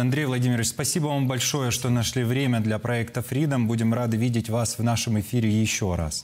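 A man speaks fairly quickly with fairly even intonation. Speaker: TV news presenter. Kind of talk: broadcast interview. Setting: TV studio. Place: studio.

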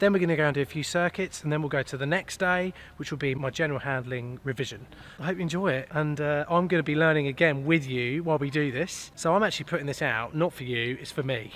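A man talks at a very fast pace with ordinary pitch variation, and the sound is dry with no echo. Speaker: student pilot vlogger. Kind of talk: casual vlog chat. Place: hall. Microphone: phone near.

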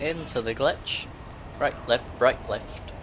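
Against noticeable background noise, a man at a medium pitch speaks at a fairly slow pace. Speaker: gaming YouTuber. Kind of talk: gameplay commentary. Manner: slurring.

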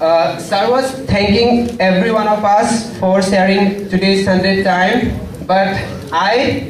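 Amid noticeable background noise and audible room echo, a man talks with ordinary pitch variation. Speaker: MBA student giving feedback. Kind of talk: formal thank-you speech. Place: hall.

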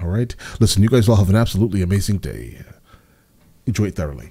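A man talks at a very fast pace in a fairly low voice with ordinary pitch variation. The background is quiet. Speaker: reaction video host. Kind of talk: casual reaction commentary. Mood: upbeat, amused. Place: home room. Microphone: studio mic.

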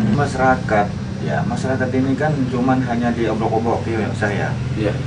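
A man's voice over loud background noise. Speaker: local village elder. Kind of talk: interview testimony. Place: home room. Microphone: camera far.

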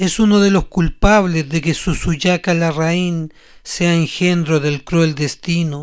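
At a very slow pace, a man speaks with a high pitch, an intense tone and fairly even intonation. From Chile. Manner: intense, accusatory, rising to a spitting, rhythmic venom.

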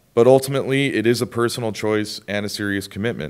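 A man with a plain, everyday voice, fairly quick pace and ordinary pitch variation. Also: quiet background. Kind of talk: prepared speech. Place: hall. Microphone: podium.

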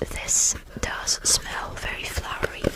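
Whispering, a woman goes at a very slow pace. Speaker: ASMR creator. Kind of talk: ASMR whisper show and tell. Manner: whispered, close-up, relaxing; casual, chatty, hesitant with fillers. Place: home room. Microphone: studio mic.

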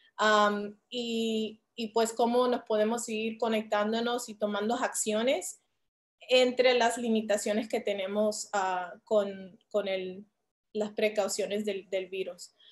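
Speaking very slowly, a woman holds a monotone, flat intonation at a fairly high pitch. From Philadelphia, US, Colombian and Puerto Rican family. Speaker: muralist artist. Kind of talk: panel presentation. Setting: video call. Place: home room. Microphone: video call.

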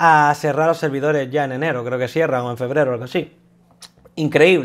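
Ordinary pitch variation from a male speaker, quiet background behind him. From Spain. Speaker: gaming YouTuber. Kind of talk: casual monologue. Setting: at his desk. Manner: halting. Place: home room. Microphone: lapel.

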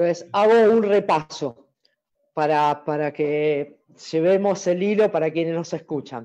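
Speaking in an Argentine accent with a dark, mellow tone, the voice moves at a very slow pace with long, frequent pauses. Its pitch variation is ordinary, and the background is quiet. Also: woman, fairly low pitch for a woman. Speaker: volleyball coaches' talk host. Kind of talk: interview. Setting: video call.

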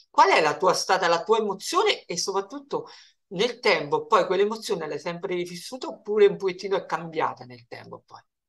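Against a quiet background, a man talks at a fairly quick pace in a high pitch, with lively intonation and big swings in loudness. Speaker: interviewer. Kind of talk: interview questions. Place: home room. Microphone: video call.

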